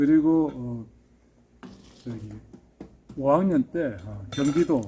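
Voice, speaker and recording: A man with lively intonation at a very slow pace. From Seoul, later Gyeonggi. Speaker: pool villa builder, channel host. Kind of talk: casual interview chat.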